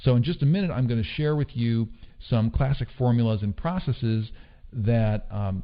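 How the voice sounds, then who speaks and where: A man at medium pitch and a fairly quick pace, with ordinary pitch variation. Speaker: online marketing trainer. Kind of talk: online course lecture. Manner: fast.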